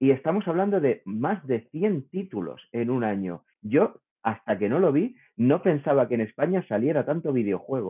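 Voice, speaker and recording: A man talks with a fairly high pitch. His pitch swings very widely. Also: moderate pace. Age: 40s. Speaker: podcast host, game developer. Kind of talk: casual chat.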